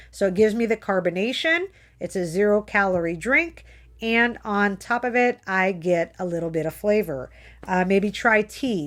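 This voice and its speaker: A woman with an ordinary speaking voice, medium pitch and lively intonation, at a moderate pace on a very clean recording with a silent background. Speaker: health coach. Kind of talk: live video motivational talk. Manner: casual, chatty.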